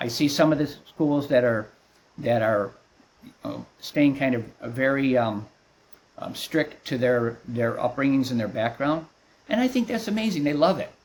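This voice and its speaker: A fairly high-pitched man at a moderate pace, long, frequent pauses, and noticeable background noise. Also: lively intonation. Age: 60s. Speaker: martial arts instructor. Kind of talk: interview. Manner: halting.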